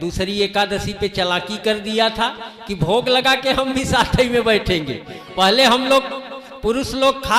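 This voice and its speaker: A man projects a raised voice at an extremely high pitch with ordinary pitch variation. Noticeable background noise runs underneath. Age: 60s. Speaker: kathavachak (religious storyteller/preacher). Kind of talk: religious discourse (katha).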